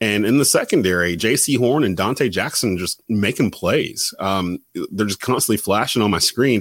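Here a man with a normal speaking voice talks at a moderate pace and a fairly low pitch. His pitch variation is ordinary, and the recording is very clean with a silent background. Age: 40s. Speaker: sports podcast host. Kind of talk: casual chat.

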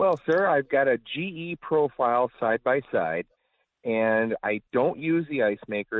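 An unremarkable speaking voice with an American accent, lively intonation and a moderate pace. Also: man. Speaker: caller. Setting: phone call.

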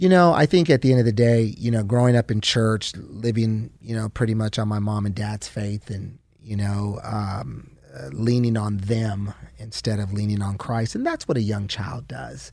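An ordinary speaking voice talks at a moderate pace with ordinary pitch variation. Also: man, fairly low pitch for a man. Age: 40s. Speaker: pastor. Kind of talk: interview testimony.

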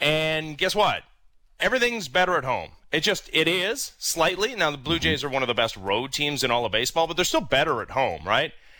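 In a very clean recording with a silent background, a man talks at a fairly quick pace with a fairly high pitch, a bright, sharp tone, vocal fry, and very wide pitch swings. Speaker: radio host. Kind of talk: casual chat.

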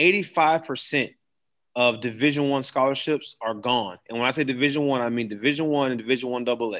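A man with an American accent has a normal speaking voice at medium pitch, with ordinary pitch variation. He speaks at a fairly quick pace over a quiet background. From Florida, Daytona Beach. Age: 30s. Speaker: high school football coach. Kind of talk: interview.

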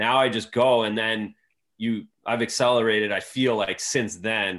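A man with an Ontario accent, fairly low in pitch, at a moderate pace with fairly even intonation. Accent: Canadian (Ontario). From Canada, Belleville, Ontario. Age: 40s. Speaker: former pro hockey goaltender and TV analyst. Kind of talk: casual interview.

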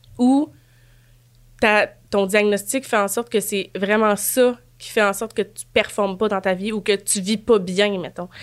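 A woman with a Quebec accent at a fairly slow pace, with long, frequent pauses, in a very clean recording over a silent background. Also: medium pitch for a woman, fairly even intonation. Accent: Québécois French. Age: 30s. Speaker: guest. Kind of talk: casual chat.

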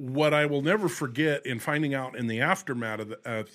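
The recording is very clean, with a silent background. A man uses an ordinary speaking voice, with lively intonation and a moderate pace. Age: 50s. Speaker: former radio host, weather website operator. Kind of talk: casual chat.

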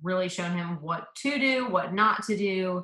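A woman's plain, everyday voice with ordinary pitch variation. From US South, suburban Atlanta, Georgia. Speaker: coach's wife. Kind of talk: casual interview chat.

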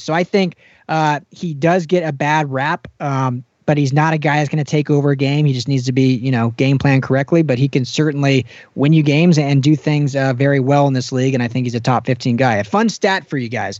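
A man's fairly high pitch with ordinary pitch variation, a normal speaking voice in an American accent at a fairly quick pace. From Colorado (Denver). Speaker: football podcast host. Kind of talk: casual chat.

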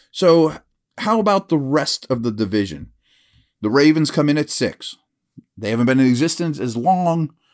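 Talking at a moderate pace, a man uses lively intonation in an ordinary speaking voice. The recording is very clean, with a silent background. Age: 40s. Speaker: NFL football analyst podcast host. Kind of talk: solo podcast commentary. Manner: conversational, casual.

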